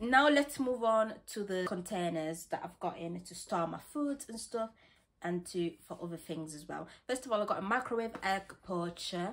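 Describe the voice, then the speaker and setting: Speaking at a moderate pace in a northern English accent, the voice has lively intonation and big swings in loudness. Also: woman. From West Yorkshire, England. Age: young. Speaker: student haul vlogger. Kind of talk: casual talk to camera, shopping haul. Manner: chatty, excitable. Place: home room. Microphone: phone near.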